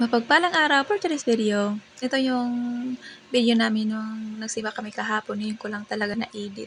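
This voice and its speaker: A woman speaks at a fairly quick pace, her fairly high pitch showing ordinary variation. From Visayas, Philippines. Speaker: family vlogger. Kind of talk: voice-over narration. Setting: home, early morning voice-over.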